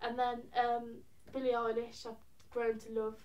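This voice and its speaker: Audible room echo surrounds a woman who speaks in a Birmingham accent at a fairly high pitch. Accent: Birmingham (Brummie) English. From England, Birmingham. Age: young. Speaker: singer-songwriter. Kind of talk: casual interview. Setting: college premises. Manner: hesitant, many fillers.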